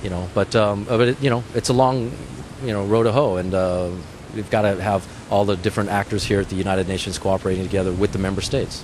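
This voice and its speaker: A man's fairly low voice at a very fast pace, dry with no echo, over noticeable background noise. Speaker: interviewee. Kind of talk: interview answer. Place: street. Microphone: handheld.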